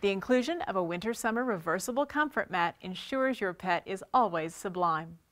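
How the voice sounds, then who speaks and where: A woman speaks at a moderate pace with very wide pitch swings. Her background is quiet. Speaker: presenter. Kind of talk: product presentation. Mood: upbeat promotional. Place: studio.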